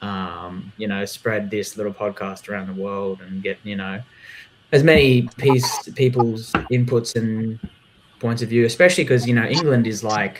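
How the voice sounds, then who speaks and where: Speaking at a moderate pace, a man with an Australian accent has a medium pitch and big swings in loudness. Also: ordinary pitch variation. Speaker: podcast panelist. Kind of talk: casual chat.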